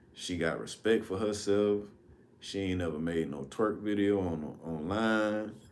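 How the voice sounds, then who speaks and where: Audible room echo follows a man who speaks fairly slowly in a fairly low voice with ordinary pitch variation. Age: 30s. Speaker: livestream host. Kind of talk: casual storytelling livestream. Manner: casual, conversational.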